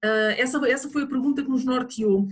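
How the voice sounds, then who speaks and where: A woman with a high voice speaks in a European Portuguese accent. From Portugal. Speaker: project coordinator and presenter. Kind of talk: webinar presentation. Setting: online webinar. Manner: halting, many fillers.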